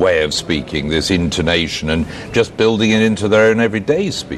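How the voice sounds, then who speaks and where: Over noticeable background noise, a man with a fairly low voice speaks at a moderate pace. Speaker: TV news presenter. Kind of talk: TV news presenting.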